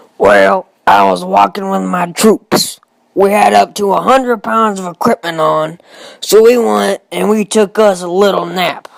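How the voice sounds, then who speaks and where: Using a put-on character voice, a man speaks at a high pitch and moderate pace, recorded with a dry, close sound with no echo. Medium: voice reel. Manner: folksy, drawling.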